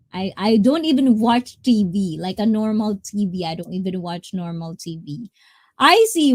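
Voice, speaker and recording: In a very clean recording with a silent background, a woman with a fairly high pitch speaks fairly slowly in an animated, somewhat breathy voice with very wide pitch swings. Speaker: streamer. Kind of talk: casual chat. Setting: live stream.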